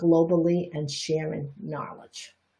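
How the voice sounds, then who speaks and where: In an American accent, a woman speaks at a very slow pace. Her voice is somewhat breathy. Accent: Chinese Bostonian. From Boston, US. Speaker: energy healing teacher and reflexologist. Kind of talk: live-streamed Q&A talk. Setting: live broadcast.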